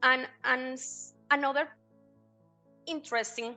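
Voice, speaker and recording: A woman with a Spanish accent, music playing in the background. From Colombia. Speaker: banking consultant. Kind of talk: interview answer.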